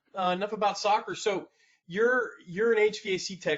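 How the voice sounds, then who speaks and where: A man speaks with an American accent. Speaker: podcast host. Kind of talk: podcast interview. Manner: casual.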